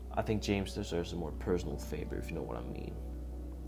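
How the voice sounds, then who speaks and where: A man with lively intonation talks at a fairly quick pace as music plays in the background. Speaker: fan movie pitch writer and narrator. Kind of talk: read story narration with dialogue.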